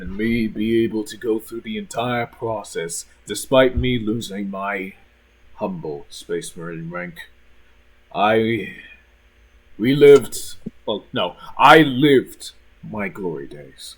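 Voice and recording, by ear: At a slow pace, a man speaks with a fairly low pitch and a slightly husky edge. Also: ordinary pitch variation.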